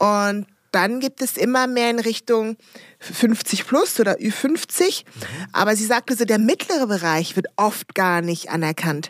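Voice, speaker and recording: With a dry, close sound with no echo, a woman in a normal speaking voice talks at a fairly slow pace, her fairly high pitch carried by lively intonation. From DR Congo, raised in rural Rhineland near Bonn from childhood. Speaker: entrepreneur and diversity consultant. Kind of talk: interview.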